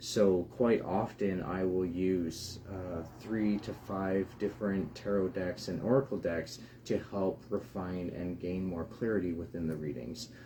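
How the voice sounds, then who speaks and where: Quiet and somewhat breathy, a man speaks at a fairly slow pace in a fairly low voice with a dark, mellow tone. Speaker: tarot reader. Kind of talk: live stream talk. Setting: live broadcast. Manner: hesitant, many fillers.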